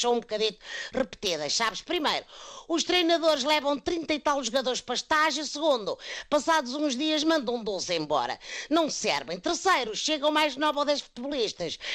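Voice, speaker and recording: Extremely high in pitch, a man speaks at a moderate pace with lively intonation and a bright, sharp tone. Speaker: comedic sports commentator. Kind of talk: comedic monologue.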